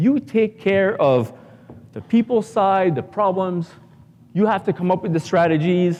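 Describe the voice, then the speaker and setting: A man with a French-Canadian accent, high-pitched, speaking fairly slowly with ordinary pitch variation. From Canada, Ottawa. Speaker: business coach for contractors. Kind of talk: conference talk. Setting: stage with audience.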